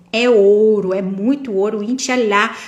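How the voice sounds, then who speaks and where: Animated tone at a fairly slow pace, with noticeable background noise. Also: woman. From interior of São Paulo state, Brazil. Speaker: tarot reader and prosperity mentor. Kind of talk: live stream talk. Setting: live stream on camera.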